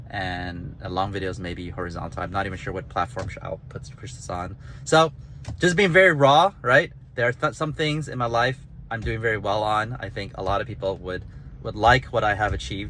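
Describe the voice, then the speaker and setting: A man speaks at a fairly quick pace in a bright, sharp tone with vocal fry, very wide pitch swings and big swings in loudness. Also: fairly low pitch for a man. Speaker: author and gamification designer. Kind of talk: casual vlog monologue. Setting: in a car while driving. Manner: halting, with stutters and restarts.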